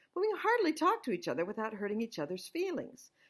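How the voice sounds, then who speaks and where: A loud, animated woman with an American accent, very wide pitch swings and a fairly quick pace, in a very clean recording with a silent background. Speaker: author and scripture study teacher. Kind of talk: inspirational talk.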